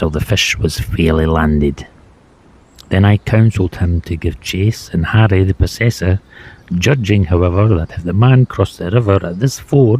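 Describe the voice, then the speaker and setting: A man with a Scottish accent speaks in a very deep, low pitch at a moderate pace. His somewhat breathy voice has lively intonation, in a dry, close sound with no echo. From Scotland. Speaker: former river bailiff. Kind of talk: reading aloud from a book.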